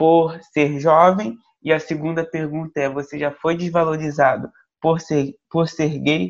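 A man uses an ordinary speaking voice, fairly high in pitch, at a fairly slow pace. His intonation is fairly even, and the background is quiet. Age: young. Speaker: podcast host. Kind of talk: interview.

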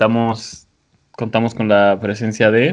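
A man talks with a Mexican accent at a medium pitch. His pace is fairly slow, with fairly even intonation. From Mexico, another state. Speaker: podcast host. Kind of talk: casual chat.

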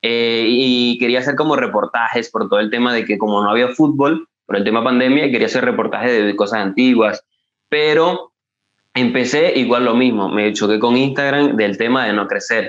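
Keeping his loudness very even, a man with a medium pitch speaks at a moderate pace with fairly even intonation. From eastern Venezuela. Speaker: football TikToker. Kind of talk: casual interview chat. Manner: halting, with many fillers and repetitions.

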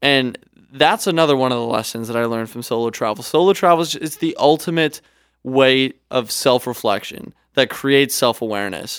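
The pace is fairly quick, with ordinary pitch variation. It is a plain, everyday voice in a very clean recording with a silent background. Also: man, medium pitch for a man. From Canada. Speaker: podcast co-host and travel videographer. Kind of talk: casual chat. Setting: studio.

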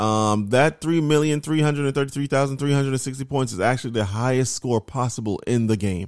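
The recording is very clean, with a silent background. A man talks at a fairly quick pace with a medium pitch and ordinary pitch variation. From New York. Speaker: podcast host. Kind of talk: casual chat.

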